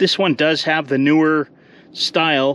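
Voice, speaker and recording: A man's voice comes through dry, with no echo, over light background noise. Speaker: tractor restorer. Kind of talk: casual walkaround commentary. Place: open country. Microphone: phone near.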